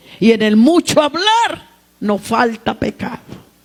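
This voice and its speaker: A woman speaks at a very slow pace with a fairly high pitch, and noticeable background noise is present. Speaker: preacher. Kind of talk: sermon. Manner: loud.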